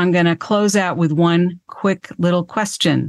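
A woman with a plain, everyday voice speaks at a fairly low pitch with fairly even intonation against a quiet background. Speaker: podcast host. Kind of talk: interview.

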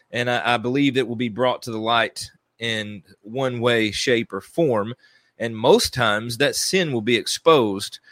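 With a plain, everyday voice at medium pitch, a man speaks at a moderate pace in a dry, close sound with no echo. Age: 30s. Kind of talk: solo devotional teaching monologue. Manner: conversational with filler words and restarts.

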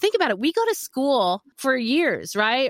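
A dry, close sound with no echo carries speech at a fairly quick pace. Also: woman. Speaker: voice actor and coach. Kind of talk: interview.

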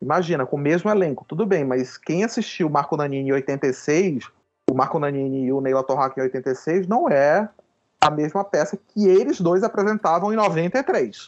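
This man has an ordinary speaking voice, fairly high in pitch. He talks at a moderate pace with lively intonation. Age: 40s. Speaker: writer and theatre director. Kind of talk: casual interview.

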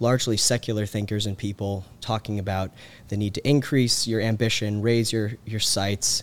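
A normal speaking voice with an American accent and fairly even intonation. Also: man, very clean recording, silent background. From US South, Georgia (Carrollton). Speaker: policy researcher. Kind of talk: casual interview. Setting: on-site recording.

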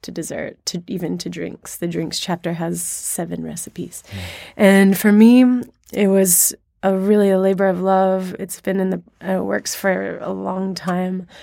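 A woman talks at a fairly slow pace. The recording is very clean and the background silent. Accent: American. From US South (Alabama). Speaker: food writer. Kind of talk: interview.

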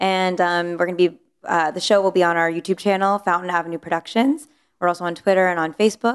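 Her intonation is fairly even. This woman's speech races at a very fast pace. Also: fairly low pitch for a woman. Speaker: TV series creator. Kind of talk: casual interview chat.

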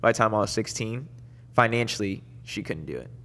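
Very fast speech with a bright, sharp tone, vocal fry and fairly even intonation. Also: man. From Dominican Republic and Puerto Rico, then Florida from age 6-7. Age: 30s. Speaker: motocross racer. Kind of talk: casual chat. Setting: studio.

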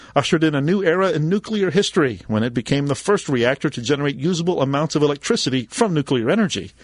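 Against a quiet background, a man with a plain, everyday voice speaks at a fairly high pitch with lively intonation. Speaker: co-host. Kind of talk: casual tech chat.

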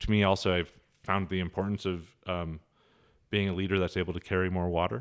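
A man's very deep, low voice with an Inland Northwest US accent, flat and monotone at a moderate pace, on a very clean recording with a silent background. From Montana, Helena. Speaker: city councilman. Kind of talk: interview. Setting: in person. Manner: hesitant, many fillers.

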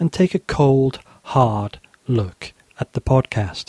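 A man's somewhat breathy, fairly high voice with a northern English accent, dry and close with no echo. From northern England. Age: 40s. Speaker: history podcaster. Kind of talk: casual chat; scripted narration.

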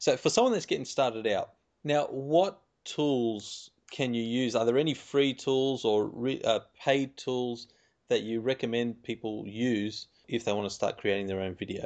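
A man's plain, everyday voice at medium pitch, with ordinary pitch variation and a fairly slow pace. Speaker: podcast host. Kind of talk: interview.

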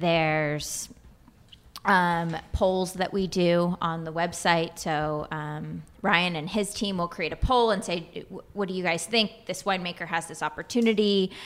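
With an American accent, a woman talks at a fairly slow pace in an ordinary speaking voice, fairly low in pitch with fairly even intonation. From California. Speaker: winemaker at a wine company. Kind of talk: casual interview. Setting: conference room, in person.

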